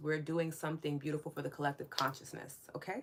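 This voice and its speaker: A woman talks with a strong New York accent and a very deep, low pitch. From New York City. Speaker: spiritual wellness podcast host. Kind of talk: live stream chat with viewers. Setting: live stream. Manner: warm, casual.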